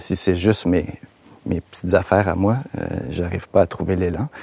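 Very deep, low male voice with a Quebec accent, fairly even intonation, a moderate pace and a dry, close sound with no echo. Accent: Québécois French. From Quebec, Laurentides. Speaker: filmmaker. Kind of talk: casual chat.

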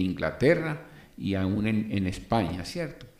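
A man speaks at a fairly slow pace in a fairly low pitch, with a plain, everyday voice. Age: 60s. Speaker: podcast host and civil engineer. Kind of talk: motivational monologue.

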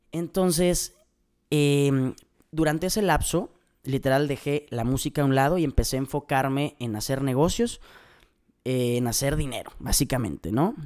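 The speaker has an animated tone, ordinary pitch variation and a moderate pace. The recording is very clean, with a silent background. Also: man, fairly high pitch for a man. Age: 20s. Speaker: motivational podcaster and music student. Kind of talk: motivational monologue.

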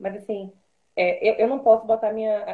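Fairly high in pitch, this woman's voice is a plain, everyday voice with ordinary pitch variation. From Salvador, Bahia, Brazil. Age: 20s. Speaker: TV news producer. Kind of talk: interview on an Instagram live.

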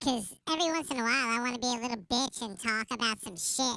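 A squeaky, female-sounding, high-pitched put-on character voice races along at a very fast pace. The recording is very clean, with a silent background.

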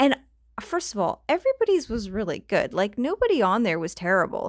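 On a very clean recording with a silent background, a woman with a fairly high pitch sounds animated, her voice making very wide pitch swings. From Canada. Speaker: podcast host. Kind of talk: casual solo podcast chat. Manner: animated, chatty.

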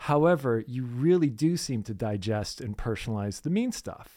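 Very clean recording with a silent background of a man at medium pitch with very wide pitch swings. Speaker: podcast co-host. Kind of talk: casual chat.

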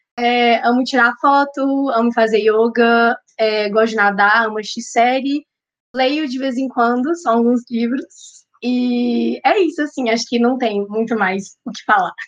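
This woman has a high pitch with ordinary pitch variation, and she talks at a fairly slow pace. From Minas Gerais, Belo Horizonte. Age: young. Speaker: psychology student and vegan content creator. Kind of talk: casual podcast interview.

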